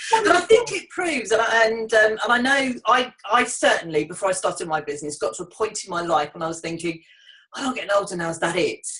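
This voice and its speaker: Amid noticeable background noise, a woman with an English accent rattles along very fast in a fairly high pitch, her voice making very wide pitch swings. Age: 50s. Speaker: business networking host. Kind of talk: casual interview. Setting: online video call.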